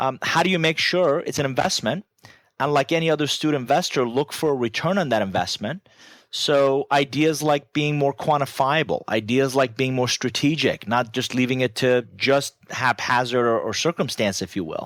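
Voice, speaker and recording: With a Persian accent, a man speaks at a fairly high pitch and a moderate pace, with ordinary pitch variation. The recording is very clean, dry and close, with a silent background and no echo. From Iran. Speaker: business author and growth strategist. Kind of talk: podcast interview.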